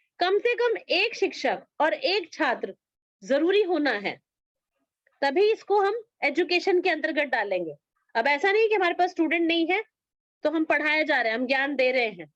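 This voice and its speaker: Woman's extremely high voice with very wide pitch swings. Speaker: yoga education teacher. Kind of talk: online class lecture.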